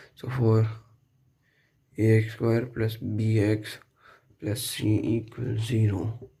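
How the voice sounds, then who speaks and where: Very slow and somewhat breathy, the voice has a dark, mellow tone, monotone, flat intonation and long, frequent pauses. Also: man, medium pitch for a man. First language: not English. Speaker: math tutorial youtuber. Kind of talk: tutorial. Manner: casual, many fillers.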